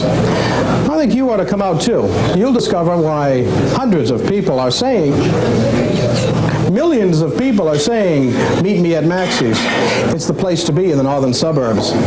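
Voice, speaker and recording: A man at a moderate pace with long, frequent pauses, amid loud background noise. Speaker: restaurant owner. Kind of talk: local TV commercial. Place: cafe.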